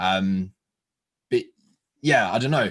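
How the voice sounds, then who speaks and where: Here a man talks with an English accent. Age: 20s. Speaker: fitness coach and podcast host. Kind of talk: casual interview chat. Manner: animated.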